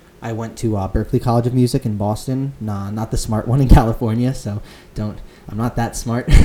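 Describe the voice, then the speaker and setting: A man's fairly quick, monotone, flat delivery amid noticeable background noise. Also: medium pitch for a man. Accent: American. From Connecticut (Fairfield County). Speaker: student club president. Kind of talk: casual chat.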